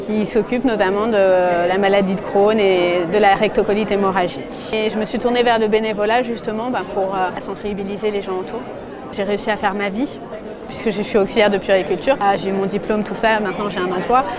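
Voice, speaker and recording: A woman talking fairly quickly in a monotone, flat voice, with audible room echo and crowd noise in the background. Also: medium pitch for a woman. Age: 30s. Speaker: patient testimony, volunteer. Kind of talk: testimony interview. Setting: at a trade fair.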